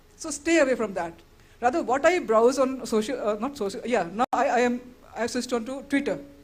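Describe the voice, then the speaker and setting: A woman's high voice at a fairly quick pace with lively intonation, over noticeable background noise. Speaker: speaker at a women's event. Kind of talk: motivational talk. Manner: fast.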